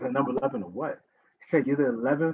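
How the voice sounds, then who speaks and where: A man's medium-pitched voice with a New York accent and lively intonation. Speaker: writer and educator, panelist. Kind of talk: panel discussion. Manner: animated.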